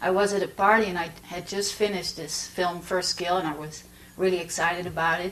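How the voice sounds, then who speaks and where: Over noticeable background noise, a woman with a fairly low pitch speaks in a Dutch accent. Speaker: documentary filmmaker. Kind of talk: master class talk. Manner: halting, many fillers.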